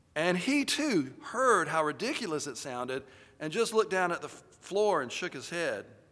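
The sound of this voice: An unforced reading voice is heard here.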